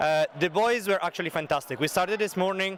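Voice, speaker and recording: A man with an Italian accent at a fairly quick pace over noticeable background noise. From Italy. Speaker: school music teacher and brass band leader. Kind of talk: interview.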